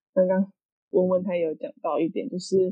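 A normal speaking voice from a woman, medium in pitch and fairly slow. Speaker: podcast co-host. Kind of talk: casual chat.

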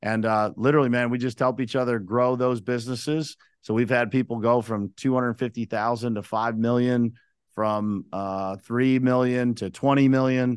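An ordinary speaking voice comes from a man with an American accent at medium pitch. He talks at a moderate pace with fairly even intonation against a quiet background. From western Pennsylvania, Uniontown. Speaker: construction business owner. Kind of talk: casual interview.

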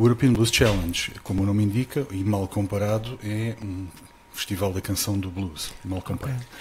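With noticeable background noise behind him, a man speaks at a moderate pace in a fairly low pitch with fairly even intonation. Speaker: festival promoter. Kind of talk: casual interview. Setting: live broadcast.

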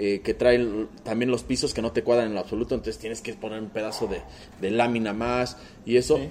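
Talking at a fairly quick pace, a man with a Mexican accent speaks at a medium pitch. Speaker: car restoration workshop owner. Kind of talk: casual chat.

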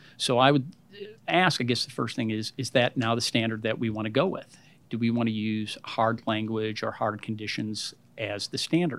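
A man speaks in a plain, everyday voice at medium pitch. His pace is moderate and his pitch varies in an ordinary way. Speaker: school board member. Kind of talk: public meeting debate.

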